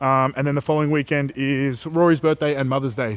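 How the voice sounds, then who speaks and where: Talking at a very fast pace with an Australian accent, a man with a fairly high pitch keeps his intonation fairly even, and the sound is dry and close with no echo. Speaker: bodybuilder vlogger. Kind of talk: casual vlog chat. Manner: monotone.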